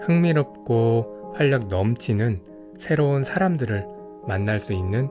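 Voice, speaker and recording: Over music in the background, a man with a fairly low voice talks very slowly with lively intonation. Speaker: audiobook narrator. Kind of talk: audiobook reading. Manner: calm, soft-spoken.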